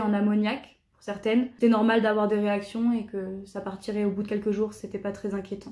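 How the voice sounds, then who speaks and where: Her tone dark and mellow, a woman speaks at a moderate pace with a fairly high pitch. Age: 20s. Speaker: jazz school student. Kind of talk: testimony. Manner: hesitant, frequent filler sounds.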